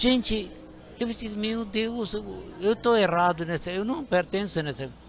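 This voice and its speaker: A man at a fairly slow pace, with ordinary pitch variation and noticeable background noise. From India. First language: Indian languages and English (speaking Portuguese). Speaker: linguistics professor. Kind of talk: interview. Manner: halting.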